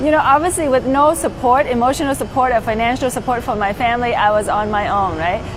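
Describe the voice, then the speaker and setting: A woman with a Vietnamese accent talks at a very fast pace with hardly any pauses, her high pitch showing ordinary variation, over noticeable background noise. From Vietnam, moved to the US at twelve. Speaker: pilot and flight instructor. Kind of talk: interview testimony. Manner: casual with many fillers.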